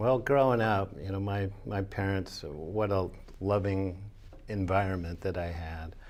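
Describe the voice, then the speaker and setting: A man with an American accent speaks at a fairly low pitch and a fairly slow pace. His intonation is fairly even, and audible room echo surrounds him. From Northern California. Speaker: former baseball player sharing faith story. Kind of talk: interview testimony. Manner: halting.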